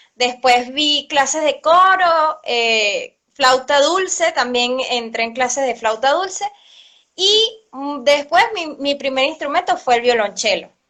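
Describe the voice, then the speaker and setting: With a Venezuelan accent, a woman uses a raised, projected voice, high pitch and lively intonation while speaking at a very slow pace. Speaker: cello teacher. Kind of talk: interview. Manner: hesitant, many fillers.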